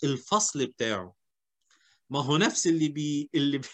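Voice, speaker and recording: A man with an Egyptian accent speaks over a quiet background. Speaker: HR seminar host. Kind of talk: seminar discussion.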